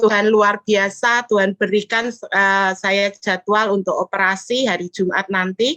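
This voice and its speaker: At a fairly slow pace and with hardly any pauses, a woman speaks in a bright, sharp tone with fairly even intonation, recorded dry and close with no echo. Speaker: fellowship participant sharing testimony. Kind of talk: testimony.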